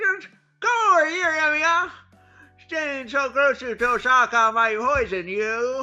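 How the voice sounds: A put-on, nasal character voice, female-sounding and high-pitched, at a fairly slow pace over music in the background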